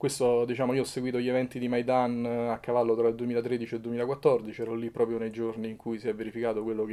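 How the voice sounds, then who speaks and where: In a Roman accent, a man with a medium pitch and a dark, mellow tone speaks very fast in a monotone, flat intonation. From Rome, Italy; Italy. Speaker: photojournalist and documentary maker; journalist being interviewed. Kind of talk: interview; interview answer. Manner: halting, with false starts. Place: home room.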